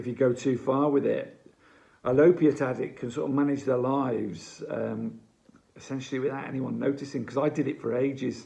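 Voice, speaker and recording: A man with an English accent speaks in a dark, mellow tone with vocal fry. His intonation is monotone and flat. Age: 60s. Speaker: addiction recovery advocate. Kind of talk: advice monologue to camera. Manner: halting.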